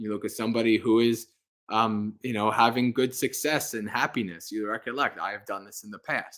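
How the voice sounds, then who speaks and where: A man with a plain, everyday voice speaks at medium pitch with fairly even intonation on a very clean recording with a silent background. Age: 40s. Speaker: Buddhist monk. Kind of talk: livestream Q&A. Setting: livestream with live audience. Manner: casual, conversational.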